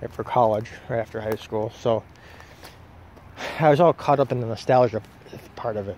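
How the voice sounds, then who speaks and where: A man with an American accent at medium pitch and a moderate pace, with noticeable background noise. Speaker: vlogger. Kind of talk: casual vlog monologue. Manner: halting.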